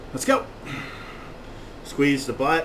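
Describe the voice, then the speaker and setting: The pace is very slow. Noticeable background noise runs underneath. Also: man. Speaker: personal trainer. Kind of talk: workout instruction. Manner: loud; out of breath.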